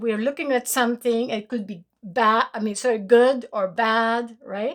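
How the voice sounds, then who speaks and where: The speaker has a Romanian accent and fairly even intonation at a fairly slow pace. The recording is very clean, with a silent background. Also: woman. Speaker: spiritual teacher. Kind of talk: spiritual talk to followers. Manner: hesitant, many fillers.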